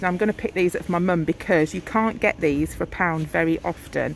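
A woman's fairly low voice at a moderate pace, with fairly even intonation, dry sound with no echo, and light background noise. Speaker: shopper vlogger. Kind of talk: casual vlog chat. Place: shop. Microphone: phone near.

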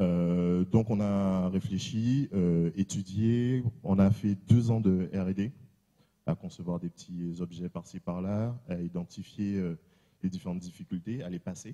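A man speaks at a very slow pace with a very deep, low pitch and a dark, mellow tone. His ordinary pitch variation is heard against a quiet background. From Guadeloupe. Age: 30s. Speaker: tech company founder; presenter. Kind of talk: conference presentation. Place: hall. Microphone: handheld.

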